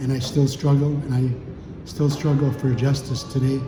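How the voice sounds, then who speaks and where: A man's medium-pitched voice at a moderate pace, with audible room echo and music in the background. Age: 70s. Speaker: former chief and residential school survivor. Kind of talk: testimony.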